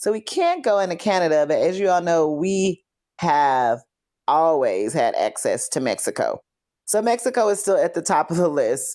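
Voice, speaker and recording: An American accent from a woman, very clean recording, silent background. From Texas, Fort Worth. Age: 40s. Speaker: podcast host. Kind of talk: casual podcast monologue. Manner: conversational.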